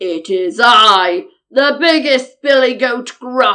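A woman's loud, hoarse, put-on character voice, high in pitch, at a very slow pace. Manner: boastful, defiant.

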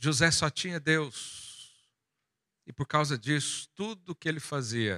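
A fairly high-pitched man with a bright, sharp tone and very wide pitch swings, at a fairly slow pace with long, frequent pauses, dry and close with no echo on a very clean recording with a silent background. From Goiás, central Brazil. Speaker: pastor. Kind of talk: sermon.

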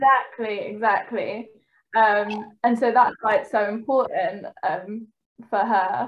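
This woman speaks with a London accent in a fairly high pitch. Her pace is fairly slow and her intonation fairly even. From East London, England. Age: 20s. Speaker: trainee clinical psychologist. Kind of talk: casual chat.

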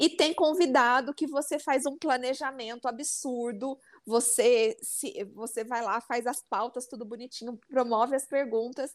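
Ordinary pitch variation in a very clean recording with a silent background. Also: woman, high pitch for a woman, fairly slow pace, hardly any pauses. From interior of São Paulo state. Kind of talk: casual chat.

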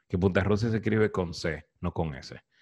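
In a very clean recording with a silent background, a man with a plain, everyday voice speaks at a moderate pace and a fairly low pitch. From Dominican Republic, Cibao (Santiago). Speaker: podcast host. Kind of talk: casual chat.

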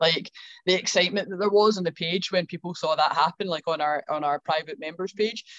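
A woman with a Scottish accent speaks at a fairly quick pace, her fairly low voice keeping a fairly even intonation. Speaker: gym owner, fitness coach. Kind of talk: casual chat.

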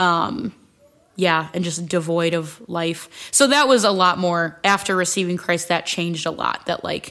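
With an American accent, a woman of fairly low pitch speaks at a moderate pace with ordinary pitch variation. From Ohio, US (Akron/Stow area). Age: 20s. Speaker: church ministry leader. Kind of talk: personal testimony in casual chat.

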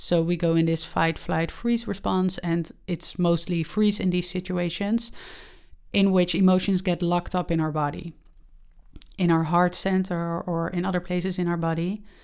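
In a very clean recording with a silent background, a woman with a Dutch accent and a fairly low pitch speaks in a flat monotone at a moderate pace. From Netherlands. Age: 20s. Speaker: podcast host, spiritual coach. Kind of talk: casual monologue.

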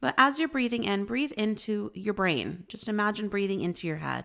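A woman with an ordinary speaking voice talks at a moderate pace and medium pitch. The recording is very clean with a silent background. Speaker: spiritual healer and podcast host. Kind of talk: guided meditation. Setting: solo recording.

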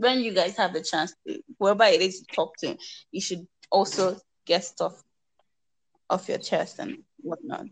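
With a Nigerian accent, a woman speaks at medium pitch and a moderate pace, leaving long, frequent pauses. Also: lively intonation. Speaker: podcast co-host. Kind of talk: casual chat.

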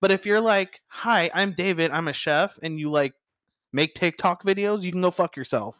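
A man talks in an animated tone at a high pitch, with ordinary pitch variation. The sound is dry and close with no echo, and his pace is moderate. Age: 30s. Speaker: chef. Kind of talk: casual chat.

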